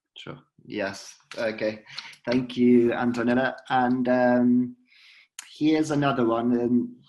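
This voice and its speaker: A man with a British accent at a very slow pace, monotone and flat, with long, frequent pauses. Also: medium pitch for a man. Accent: British accent when speaking Spanish. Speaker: conference moderator. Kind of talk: reading audience questions.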